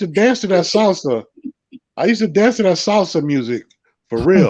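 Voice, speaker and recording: High-pitched man with a New York accent, very wide pitch swings, fairly quick pace. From Brooklyn, New York. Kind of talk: casual chat.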